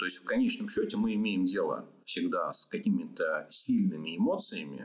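This is a man speaking. His pace is moderate. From Russia, Orenburg. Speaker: clinical psychologist. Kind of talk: podcast interview.

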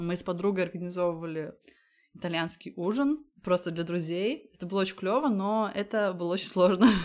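Her voice is an unremarkable speaking voice at medium pitch, and this woman talks at a fairly quick pace. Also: ordinary pitch variation. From Latvia. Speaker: podcaster and food photographer. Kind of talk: interview.

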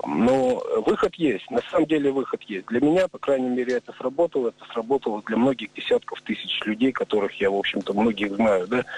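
Noticeable background noise sits behind a man talking at a fairly quick pace with lively intonation, the sound dry and close with no echo. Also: medium pitch for a man. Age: 40s. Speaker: recovering drug addict. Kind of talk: testimony.

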